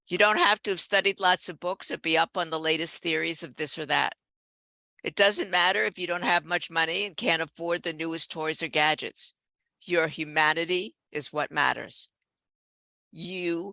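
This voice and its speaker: A bright, sharp tone at a moderate pace with fairly even intonation, in a very clean recording with a silent background and a dry, close sound with no echo. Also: woman, fairly low pitch for a woman. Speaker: professor. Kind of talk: keynote lecture. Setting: conference talk with slides.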